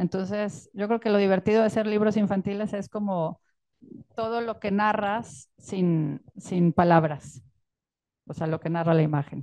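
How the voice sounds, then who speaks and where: A woman's dark, mellow voice in a Mexican accent, fairly slow, with ordinary pitch variation and a quiet background. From Mexico. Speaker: illustrator and author. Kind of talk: book presentation talk. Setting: stage with audience. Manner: halting. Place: tent.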